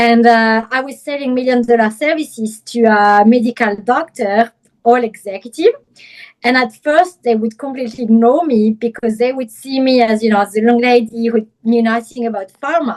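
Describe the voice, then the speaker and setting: A woman with a French accent speaks at a fairly high pitch with fairly even intonation. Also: moderate pace. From France, Paris. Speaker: image consultant and personal stylist. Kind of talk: interview.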